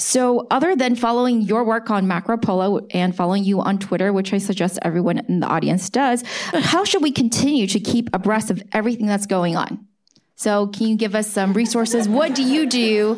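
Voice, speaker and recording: A woman with an American accent and an ordinary speaking voice talks at a fairly quick pace and fairly high pitch, with ordinary pitch variation and very even loudness. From US, born in China. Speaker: tech podcast co-host, interviewer. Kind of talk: live on-stage interview. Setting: stage with audience.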